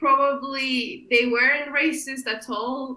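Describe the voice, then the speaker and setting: In a Kurdish accent, a woman speaks at a very slow pace in a high, raised, projected voice. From Iraqi Kurdistan, raised in Glasgow from age 12. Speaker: political candidate and rights campaigner. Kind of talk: podcast interview.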